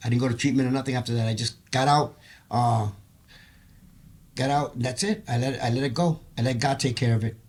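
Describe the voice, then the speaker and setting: A somewhat breathy man's voice at medium pitch, at a very fast pace. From Puerto Rico. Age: 60s. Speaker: choir member, former case manager. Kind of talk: podcast interview, personal testimony.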